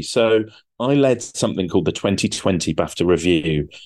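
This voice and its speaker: A man speaks in a British accent with vocal fry. His pitch swings very widely. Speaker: TV producer. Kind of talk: interview.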